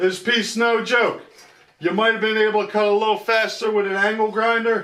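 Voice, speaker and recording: At a moderate pace, a man with a high pitch speaks in a raised, projected voice with monotone, flat intonation. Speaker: DIY workshop youtuber. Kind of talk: tutorial. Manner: loud.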